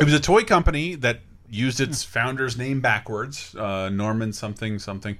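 A man with an unremarkable speaking voice talks at a fairly quick pace, his medium pitch showing ordinary variation. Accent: American. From US South. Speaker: podcast host. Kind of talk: casual chat.

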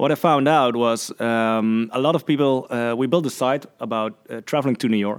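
With a Dutch accent, a man speaks with hardly any pauses. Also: medium pitch for a man, ordinary pitch variation, moderate pace. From Netherlands. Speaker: podcast host. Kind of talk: interview. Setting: office, sharing one microphone.

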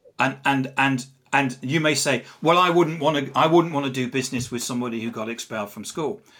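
With an English accent, a man speaks at a fairly quick pace and a medium pitch. His tone is bright and sharp, with ordinary pitch variation. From England. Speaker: social selling author and CEO. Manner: halting, repeats words.

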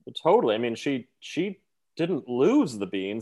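Moving at a moderate pace, a man speaks with very wide pitch swings. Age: 30s. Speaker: Broadway performer. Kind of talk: casual chat.

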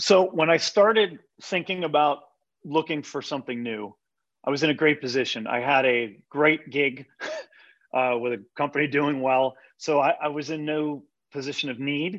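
A man with an American accent has an ordinary speaking voice, a fairly high pitch, ordinary pitch variation and a moderate pace. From Pittsburgh area, western Pennsylvania. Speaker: manufacturing advisory executive. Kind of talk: casual interview.

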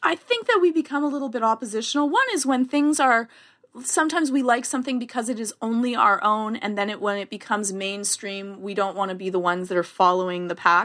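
A woman with a Canadian accent talks very fast in a fairly high pitch with lively intonation. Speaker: therapist. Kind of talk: casual chat.

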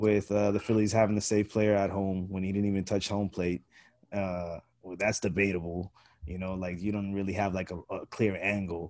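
At a moderate pace, a man talks at a fairly low pitch. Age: 30s. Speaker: sports podcast host. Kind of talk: casual chat. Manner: animated.

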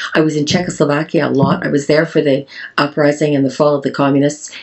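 The speaker talks at a fairly quick pace in a Canadian accent. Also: woman. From Canada. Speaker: farmer and beauty entrepreneur. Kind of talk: interview conversation. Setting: farm in Wales.

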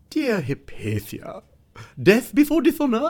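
Theatrical tone in a high pitch at a fairly slow pace. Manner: gushing, theatrical.

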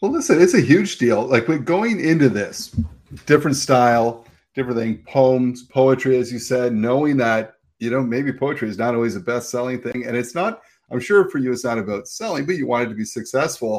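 This man has a plain, everyday voice with a Canadian accent and a medium pitch. He talks at a fairly quick pace with ordinary pitch variation. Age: 50s. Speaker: podcast host. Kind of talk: casual interview chat.

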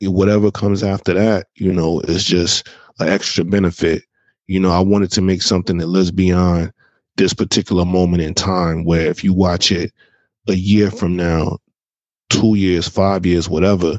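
Speaking with an American accent, a man uses a very deep, low pitch and monotone, flat intonation at a moderate pace. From Jacksonville, Florida. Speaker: artist and advertising director. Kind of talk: casual interview.

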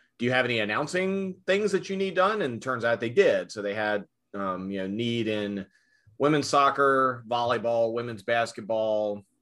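A man with an American accent and an ordinary speaking voice, medium in pitch, with lively intonation at a moderate pace over a quiet background. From US South, rural southern Virginia. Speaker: arena public address announcer. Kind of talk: interview.

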